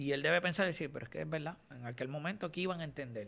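A fairly high-pitched man at a very fast pace. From Puerto Rico, Caguas. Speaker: radio host and DJ. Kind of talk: interview. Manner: halting.

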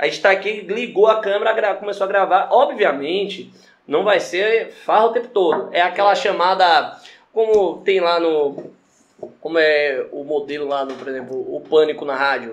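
A man is speaking. His pitch is high, and his intonation is lively. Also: moderate pace. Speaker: podcast co-host. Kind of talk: casual chat.

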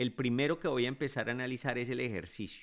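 A man's unremarkable speaking voice at medium pitch and a moderate pace, on a very clean recording with a silent background. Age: 50s. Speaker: physician podcast host. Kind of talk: educational monologue.

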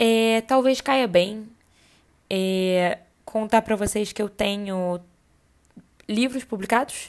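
A woman's fairly high voice at a very slow pace, with fairly even intonation and long, frequent pauses, on a very clean recording, silent background. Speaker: podcast host and writer. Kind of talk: casual monologue. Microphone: cheap earphone mic.

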